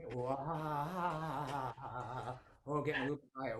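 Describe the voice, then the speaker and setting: Bright and sharp in tone, a man talks at a fairly slow pace with a playful, upbeat delivery. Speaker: comedy magician. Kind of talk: comedy magic show patter for families.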